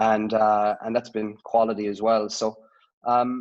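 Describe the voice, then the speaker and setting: A man speaks with an Irish accent. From Ireland (Dublin). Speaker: sports analytics head. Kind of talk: interview. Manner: hesitant, many fillers.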